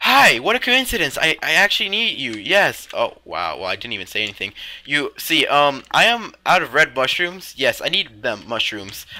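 A man talks with hardly any pauses in a fairly high voice. Vocal fry is audible in his speech. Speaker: Minecraft roleplay YouTuber. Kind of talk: heated argument in a gameplay roleplay. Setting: gameplay recording with voiceover. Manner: sarcastic, blunt, and quick to snap back; stumbling, repeating words mid-sentence.

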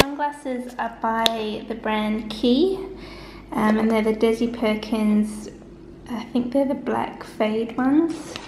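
Over noticeable background noise, a woman with an Australian accent speaks very slowly in a fairly high voice. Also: ordinary pitch variation. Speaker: vlogger. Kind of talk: casual vlog chat to camera. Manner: chatty, informal, laughs often. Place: home room. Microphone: phone near.

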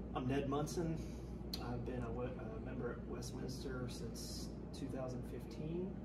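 Loud background noise sits behind a man. He talks at a fairly slow pace. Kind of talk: interview answer. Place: home room. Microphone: camera far.

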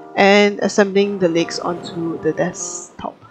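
With music playing in the background, a woman speaks at medium pitch with fairly even intonation. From Malaysia, Kuala Lumpur. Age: 20s. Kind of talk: casual vlog voiceover.

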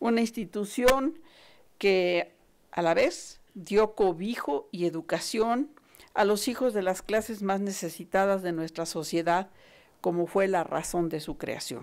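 A woman at a very slow pace, with lively intonation. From Mexico. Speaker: university director; speaker. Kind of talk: formal speech. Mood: solemn, proud. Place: hall. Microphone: podium.

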